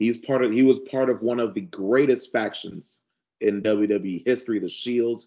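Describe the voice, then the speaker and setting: At a fairly slow pace, a man with an American accent and a normal speaking voice talks at a medium pitch with fairly even intonation. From South Central Los Angeles. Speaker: sports podcast co-host. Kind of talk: casual chat.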